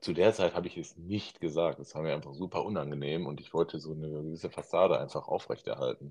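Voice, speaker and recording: Speaking at a very fast pace with hardly any pauses, a man shows big swings in loudness. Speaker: podcast host. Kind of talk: casual interview. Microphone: phone without AirPods.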